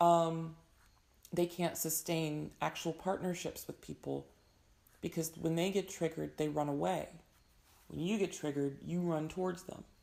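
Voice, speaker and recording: A woman's fairly low, dark, mellow voice, monotone and flat, at a moderate pace with long, frequent pauses. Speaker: tarot reader. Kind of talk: tarot reading. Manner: casual, conversational.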